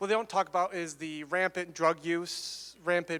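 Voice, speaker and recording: A loud, high-pitched man's voice with an American accent, bright and sharp in tone, monotone and flat, on a very clean recording with a silent background. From Michigan. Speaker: student giving testimony. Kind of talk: testimony.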